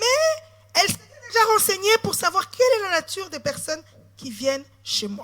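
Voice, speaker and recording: An extremely high-pitched woman's voice with very wide pitch swings. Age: 40s. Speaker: politician. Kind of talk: sermon.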